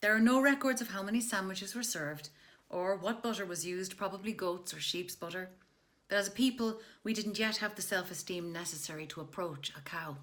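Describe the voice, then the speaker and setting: Her fairly quick delivery has a bright, sharp tone, a medium pitch and ordinary pitch variation for this woman. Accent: Irish. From Ireland. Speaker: actress, voice artist, comedy writer. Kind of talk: comic history reading. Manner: humorous.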